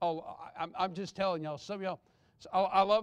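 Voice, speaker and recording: Over a quiet background, a man speaks fairly quickly in a Southern US accent with fairly even intonation. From Texas. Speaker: pastor. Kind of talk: Sunday morning sermon, conversational with the congregation, pressing a hard point. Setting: church. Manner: earnest and reassuring, repeating himself to drive the point home; folksy and off-the-cuff, with asides. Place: church.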